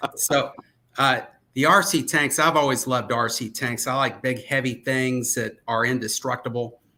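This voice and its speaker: A man speaks at a moderate pace and medium pitch. His tone is bright and sharp, his intonation fairly even. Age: 60s. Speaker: aerial photographer. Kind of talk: casual chat. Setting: live stream.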